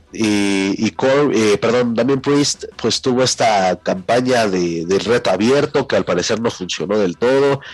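Over noticeable background noise, a man speaks at a fairly slow pace in a medium pitch, with ordinary pitch variation and hardly any pauses. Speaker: wrestling podcast co-host. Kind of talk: casual chat.

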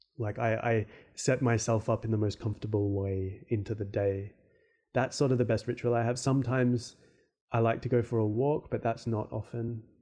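Against a quiet background, a man speaks at a moderate pace with a medium pitch and monotone, flat intonation. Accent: Australian. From Australia, Perth. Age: 30s. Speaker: podcast host and fantasy artist. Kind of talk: casual solo Q&A. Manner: hesitant, many fillers.

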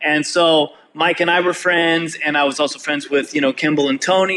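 Through noticeable background noise, a man with a Californian accent speaks at a fairly quick pace in a fairly high voice. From California Bay Area. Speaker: rock drummer. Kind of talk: interview. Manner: laid-back.

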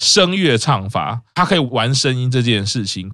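A man's bright, sharp voice at a medium pitch leaps through very wide pitch swings. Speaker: podcast host. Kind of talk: casual chat.

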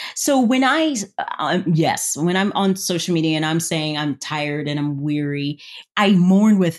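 Against a quiet background, a woman with an American accent uses a normal speaking voice at a fairly low pitch, talking at a moderate pace with lively intonation and hardly any pauses. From US South. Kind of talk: interview.

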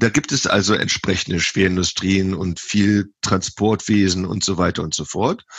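A man speaks at a fairly slow pace. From western Germany, Lower Rhine (Viersen). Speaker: professor of animal science. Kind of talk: interview. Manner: halting, many fillers.

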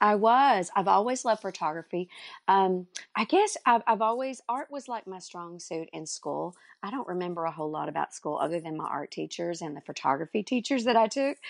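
Over a quiet background, a woman talks at a fairly quick pace with lively intonation and big swings in loudness, the sound dry and close with no echo. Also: medium pitch for a woman. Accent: Texan. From North Texas, Dallas area. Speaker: furniture artist and business coach. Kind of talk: interview.

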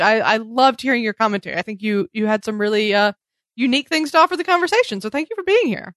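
With an American accent, a woman speaks in an ordinary speaking voice, fairly high in pitch and lively in intonation, recorded dry and close with no echo. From US South. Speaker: podcast host. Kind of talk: casual chat. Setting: video call.

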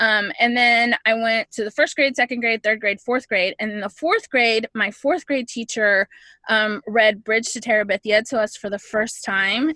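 A woman speaks with hardly any pauses, her pitch fairly high and her intonation fairly even. The tone is bright and sharp, and the sound is dry and close with no echo. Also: moderate pace. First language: Spanish. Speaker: podcast guest. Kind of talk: casual chat.

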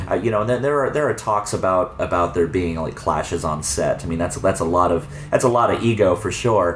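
A man with an American accent speaks in a very deep, low voice with lively intonation. He moves at a fairly quick pace with hardly any pauses over noticeable background noise. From Arizona, suburbs of Phoenix. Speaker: video store owner and filmmaker. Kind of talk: casual chat. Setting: in a video store. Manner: halting, many repetitions.

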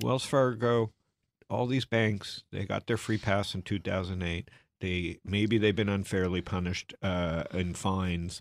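A man with a Canadian accent speaks at a fairly slow pace. His pitch is very deep and low, with ordinary variation. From Canada. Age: 40s. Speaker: angel investor and venture capitalist. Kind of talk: interview conversation.

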